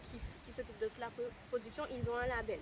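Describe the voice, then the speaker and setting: Against noticeable background noise, a woman talks very fast. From Guadeloupe. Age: 20s. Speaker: stationery brand founder. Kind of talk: interview answer.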